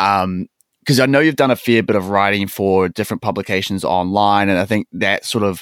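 With a New Zealand accent, a man talks at a fairly quick pace in a fairly low pitch with fairly even intonation, on a very clean recording with a silent background and a dry, close sound with no echo. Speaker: podcast host, personal trainer and gym owner. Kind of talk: casual interview chat; scripted outro.

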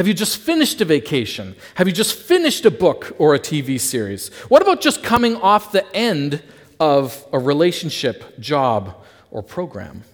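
With a Canadian accent and vocal fry, a man speaks at a moderate pace in a fairly high pitch that makes very wide swings. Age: 30s. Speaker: pastor. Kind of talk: sermon.

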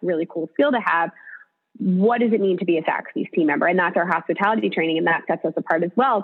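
A woman speaks at a very fast pace in a fairly low pitch. Her intonation is lively. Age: 30s. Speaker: talent development executive. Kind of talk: interview. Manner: talkative.

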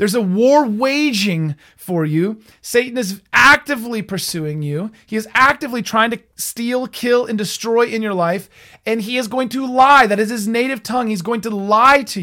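On a very clean recording with a silent background, a man projects a raised, high-pitched voice with a bright, sharp tone and ordinary pitch variation. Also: moderate pace. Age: 30s. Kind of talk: faith-based teaching monologue. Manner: halting, frequent repetitions and fillers.

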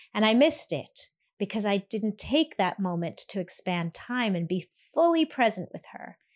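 The pitch swings very widely. The sound is dry and close with no echo against a quiet background. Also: woman, medium pitch for a woman. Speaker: podcast host, orthodontist and coach. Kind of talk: solo motivational podcast talk. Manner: slowed, deliberate cadence.

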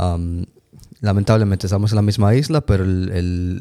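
Recorded dry and close with no echo and a silent, very clean background, the voice has a dark, mellow tone, a moderate pace and fairly even intonation. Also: man. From Dominican Republic. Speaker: podcast guest. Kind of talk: casual chat.

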